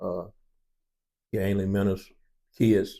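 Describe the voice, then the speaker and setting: A man's dark, mellow voice at a moderate pace. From US South, Tennessee. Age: 60s. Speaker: family elder interviewee. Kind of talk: casual interview storytelling.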